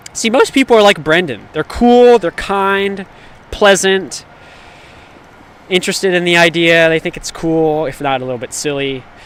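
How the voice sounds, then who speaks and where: Loud and animated, a man with a high pitch speaks at a moderate pace with lively intonation amid noticeable background noise. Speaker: livestreamer. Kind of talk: casual chat. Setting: outdoors.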